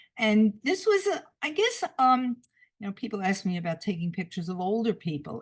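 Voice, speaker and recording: Speaking in a New York accent at a moderate pace, a woman uses a fairly high, somewhat breathy voice with very wide pitch swings. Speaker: photographer. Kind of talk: illustrated talk. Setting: video call. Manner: halting.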